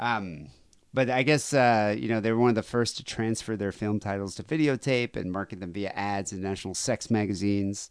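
A man with a normal speaking voice talks at a fairly quick pace in an American accent. His pitch is fairly low with ordinary variation, over a quiet background. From United States. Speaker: podcast host. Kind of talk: casual chat. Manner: laughs often.

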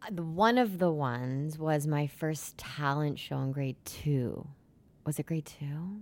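Using a very deep, low pitch, a woman speaks at a fairly slow pace with ordinary pitch variation. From Canada, Brampton/Mississauga Ontario. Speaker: singer-songwriter. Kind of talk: casual chat. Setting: studio.

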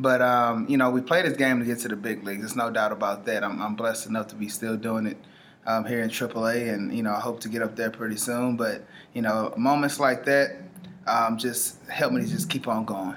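A man with an American accent talks at a fairly quick pace in a normal speaking voice. His medium pitch holds fairly even intonation. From Houston, Texas. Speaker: professional baseball player. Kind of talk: interview.

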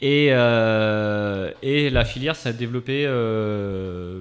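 The man has a normal speaking voice at medium pitch, with ordinary pitch variation. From France, Angers. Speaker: spirulina farmer. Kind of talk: radio interview. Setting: radio studio.

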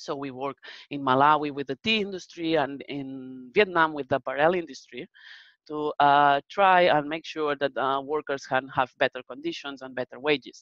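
At a moderate pace, a woman speaks in a very deep, low voice with ordinary pitch variation. Her loudness swings widely. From Spain. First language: Spanish. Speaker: research manager presenter. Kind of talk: webinar presentation with Q&A. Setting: video call webinar.

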